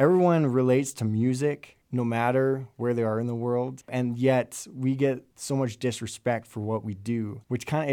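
Over a silent background in a very clean recording, a normal speaking voice comes through with fairly even intonation. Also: man. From Alberta, Canada. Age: 20s. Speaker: freelance drummer. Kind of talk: casual interview. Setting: studio.

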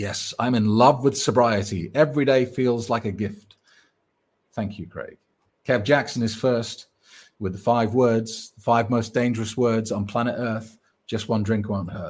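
This man speaks in a normal speaking voice at medium pitch, keeping a fairly slow pace and fairly even intonation. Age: 40s. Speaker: sobriety coach. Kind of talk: live stream Q&A.

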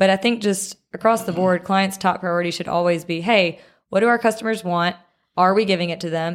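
A woman speaks with a Mississippi accent. Her medium pitch follows a fairly even intonation. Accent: US Southern (Mississippi). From Mississippi (Picayune, near the Gulf Coast). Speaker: media company founder and CEO. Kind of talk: casual interview chat. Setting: studio.

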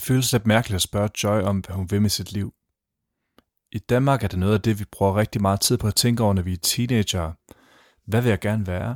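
A man with a Danish accent talks at a very fast pace. The sound is dry and close with no echo, and the recording is very clean with a silent background. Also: fairly low pitch for a man, fairly even intonation. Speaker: podcast host and interviewer. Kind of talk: narration and interview.

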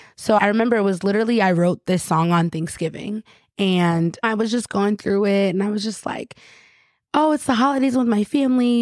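On a very clean recording with a silent background and a dry, close sound with no echo, a woman with an American accent speaks at a fairly high pitch with lively intonation. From upstate New York, Rochester. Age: 20s. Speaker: singer. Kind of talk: casual interview.

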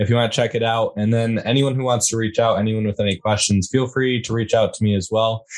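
Using a plain, everyday voice, a man speaks at a medium pitch and a fairly quick pace. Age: 20s. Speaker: podcast host, guest. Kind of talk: casual chat.

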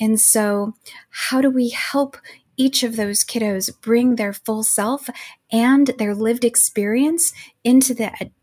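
Talking at a fairly slow pace, a woman with an unremarkable speaking voice uses a fairly high pitch with ordinary variation. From US, Mexican-American family. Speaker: education nonprofit executive, former literature scholar. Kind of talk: interview.

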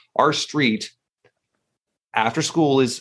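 This man has a fairly high voice and speaks with a Canadian accent. The recording is very clean, with a silent background. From Toronto, Canada. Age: 40s. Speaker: podcast host and entrepreneur. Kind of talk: casual interview chat.

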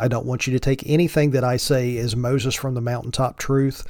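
The speaker has an Appalachian accent. The intonation stays fairly even. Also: man. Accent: Appalachian Southern US. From Virginia mountains, Appalachia. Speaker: podcast host. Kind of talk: solo podcast intro, casual monologue. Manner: joking, casual.

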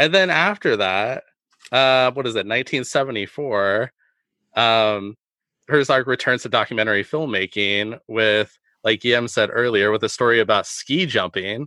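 A man with an ordinary speaking voice, medium pitch, ordinary pitch variation and a fairly slow pace. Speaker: podcast co-host. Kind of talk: casual film discussion podcast.

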